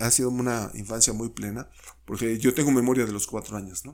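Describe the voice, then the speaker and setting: Fairly quick delivery in a Mexico City accent. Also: man. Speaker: sociologist and university professor. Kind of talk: casual interview.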